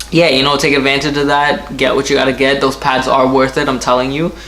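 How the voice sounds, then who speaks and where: A man with an American accent talks in a fairly high voice, with audible room echo and noticeable background noise. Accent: American with occasional Trinidadian slips. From US, Trinidadian household. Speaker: car YouTuber. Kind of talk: casual Q and A vlog.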